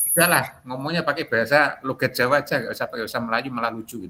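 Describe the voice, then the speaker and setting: Very fast and with a strong Javanese accent, a man speaks at a fairly high pitch in a bright, sharp tone. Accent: thick Javanese (medok). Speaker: teacher trainer, facilitator. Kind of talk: online class discussion.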